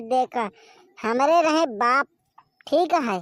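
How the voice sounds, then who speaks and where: A woman's put-on character voice, high in pitch, at a fairly slow pace, with a dry, close sound and no echo. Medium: voice reel. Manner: brash, bullying, quick to anger.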